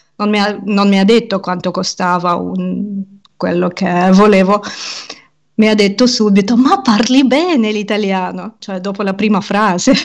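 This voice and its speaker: Fairly slow speech from a woman at a medium pitch, her intonation fairly even. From Ukraine. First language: Russian and Ukrainian (speaking Italian). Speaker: podcaster and language teacher. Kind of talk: interview conversation.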